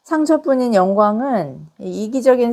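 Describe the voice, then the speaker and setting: A woman with a dark, mellow tone and lively intonation is heard on a very clean recording with a silent background. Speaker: pastor. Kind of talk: sermon.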